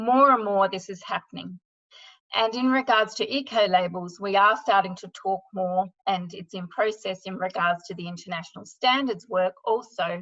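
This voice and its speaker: In an Australian accent, a woman speaks at medium pitch and a moderate pace in a bright, sharp tone, with ordinary pitch variation and big swings in loudness. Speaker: sustainability consultant. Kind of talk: webinar presentation.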